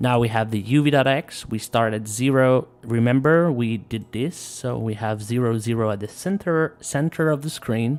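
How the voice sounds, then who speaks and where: A man's medium-pitched voice at a moderate pace, with ordinary pitch variation and hardly any pauses. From Quebec. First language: French. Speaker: live coding streamer. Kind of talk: live coding tutorial stream. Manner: casual, halting with fillers.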